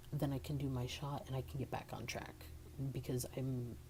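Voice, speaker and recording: A man's medium-pitched, somewhat breathy voice with a dark, mellow tone and audible room echo. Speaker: vlogger. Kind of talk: personal vlog. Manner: halting, many fillers.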